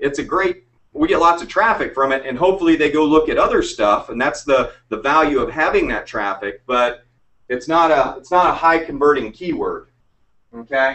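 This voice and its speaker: Using a normal speaking voice, a man with a fairly high pitch speaks at a moderate pace with ordinary pitch variation. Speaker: internet marketing trainer. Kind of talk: online training webinar. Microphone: echo from listener's speakers.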